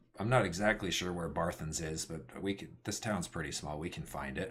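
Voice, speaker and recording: A man puts on a raspy character voice with a very deep, low pitch. He talks at a fairly quick pace. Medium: actual play. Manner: relaxed, matter-of-fact.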